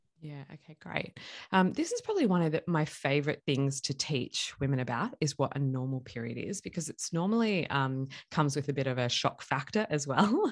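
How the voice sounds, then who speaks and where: On a very clean recording with a silent background, a woman with an Australian accent speaks in a very deep, low pitch with lively intonation. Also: fairly quick pace. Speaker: chiropractor. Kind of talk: interview.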